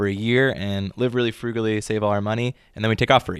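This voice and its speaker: A man speaks in an unremarkable speaking voice, fairly low in pitch with fairly even intonation, on a very clean recording with a silent background. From New York City (Brooklyn), later outside Philadelphia. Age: 30s. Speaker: sommelier and world traveler. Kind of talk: interview.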